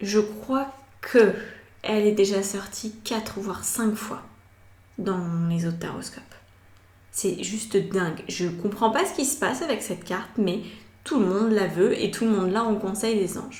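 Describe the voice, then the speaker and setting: Audible room echo surrounds a somewhat breathy woman speaking at a fairly slow pace. She uses ordinary pitch variation and takes long, frequent pauses. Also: medium pitch for a woman. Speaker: tarot reader. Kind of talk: tarot reading. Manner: hesitant fillers.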